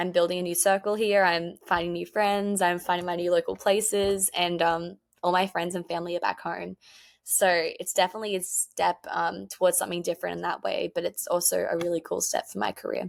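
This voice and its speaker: In a very clean recording with a silent background, a woman with a strong Australian accent talks at a fairly quick pace. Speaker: country music singer. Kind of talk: interview. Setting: podcast. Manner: fast.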